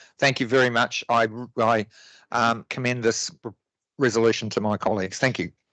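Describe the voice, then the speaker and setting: A man with a New Zealand accent speaks at a moderate pace in a bright, sharp voice of medium pitch, flat and monotone, with long, frequent pauses. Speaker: local councillor. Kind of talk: council debate speech. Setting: council chamber meeting. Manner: halting, many fillers and restarts.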